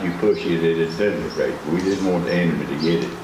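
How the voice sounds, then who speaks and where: A man with a Southern US accent at a moderate pace, amid noticeable background noise and audible room echo. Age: 90s. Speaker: war veteran. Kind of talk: speech. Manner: folksy storytelling.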